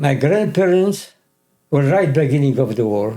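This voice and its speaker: Somewhat breathy and dark and mellow in tone, a man's fairly high voice moves at a moderate pace. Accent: Polish. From Poland, Krakow. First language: Polish. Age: 80s+. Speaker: Holocaust survivor. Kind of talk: interview testimony.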